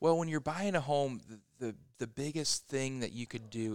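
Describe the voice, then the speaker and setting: Speaking at a fairly quick pace, a man uses a normal speaking voice with ordinary pitch variation. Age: 30s. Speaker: real estate agent. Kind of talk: casual chat. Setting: coffee shop.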